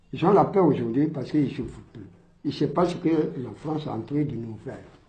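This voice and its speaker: Fairly quick speech from a man with a fairly high pitch and vocal fry, ordinary pitch variation, and audible room echo. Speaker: colonial war veteran. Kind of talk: testimony. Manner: loud.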